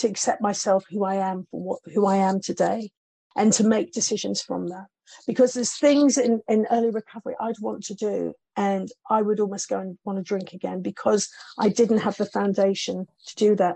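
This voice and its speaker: Her tone dark and mellow, a woman speaks with fairly even intonation. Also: medium pitch for a woman, moderate pace, dry, close sound with no echo. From Newcastle, northern England. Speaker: former dancer and TV presenter. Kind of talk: interview.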